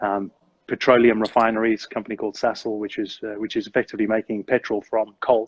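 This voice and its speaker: A man's very fast, monotone, flat delivery at medium pitch, in a South African accent, dry and close with no echo over a quiet background. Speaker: business owner. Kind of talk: interview chat. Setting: live video stream. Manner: halting, many fillers.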